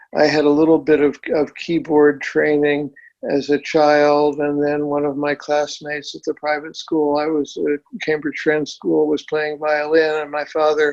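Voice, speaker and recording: A man with an American accent and a fairly high pitch speaks in a monotone, flat intonation at a moderate pace against a quiet background. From US Northeast, Boston area. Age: 60s. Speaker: physician and amateur violinist. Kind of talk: interview conversation. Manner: halting, many fillers and restarts.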